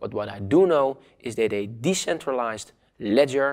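A man with a non-native accent, moderate pace and ordinary pitch variation, over a quiet background. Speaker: online course instructor. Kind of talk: lecture. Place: studio. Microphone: lapel.

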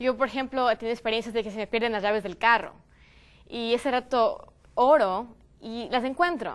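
A moderate pace in a plain, everyday voice. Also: woman. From Ecuador. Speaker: youth panelist. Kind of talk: panel discussion. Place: studio. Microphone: lapel.

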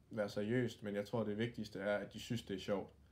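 A man with a fairly low pitch talks in a calm tone at a moderate pace. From Denmark, Aarhus; Denmark. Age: 20s. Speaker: youth badminton coach and former pro player; youth badminton coach. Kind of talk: interview. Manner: halting, many fillers. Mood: calm, friendly. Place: home room. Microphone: phone near.

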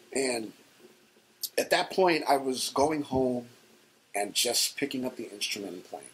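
With a New York accent, a man speaks at a fairly slow pace, his loudness swinging widely between long, frequent pauses. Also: ordinary pitch variation. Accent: New York City. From The Bronx, New York City; New York City. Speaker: hardcore band bassist; interviewee. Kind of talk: oral history interview answer. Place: office.

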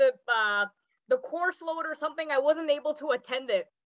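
With a North American accent, a woman talks at a moderate pace in an extremely high pitch, the sound dry with no echo and the background quiet. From Canada. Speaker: call participant, scientist. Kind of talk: casual chat. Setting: video call. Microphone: video call.

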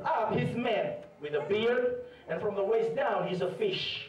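Speech at a fairly slow pace comes with noticeable background noise and audible room echo. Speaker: preacher. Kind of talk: sermon. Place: church. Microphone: camera far.

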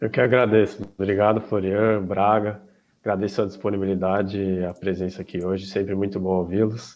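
A man speaks at a fairly quick pace. His pitch is fairly low, and his intonation is monotone and flat. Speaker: student event organizer; student event host. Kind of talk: event opening and closing. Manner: formal. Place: home room.

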